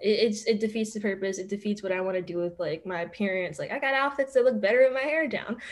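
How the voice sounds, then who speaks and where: Speaking with a Philadelphia accent, the voice races at a very fast pace with lively intonation and hardly any pauses. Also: woman, fairly high pitch for a woman. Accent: Philadelphia American English. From Philadelphia, Manayunk and Roxborough area. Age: 20s. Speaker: law student; podcast guest. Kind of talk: casual interview chat. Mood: candid, animated storytelling. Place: home room. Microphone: video call.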